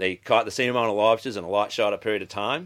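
This man talks with a Maine accent and a fairly low pitch. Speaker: lobsterman. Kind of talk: casual conversation.

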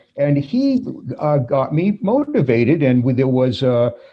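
A man with a fairly high pitch for a man talks with very wide pitch swings and a somewhat breathy quality. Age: 60s. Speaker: former priest. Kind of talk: interview.

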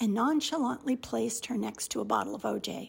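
Speaking at a moderate pace, a woman uses an animated, theatrical tone. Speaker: radio feature host and reader. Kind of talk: dramatic reading aloud of a comic letter, with character voices. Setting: radio studio. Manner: animated, theatrical, playful; expressive with comic timing.

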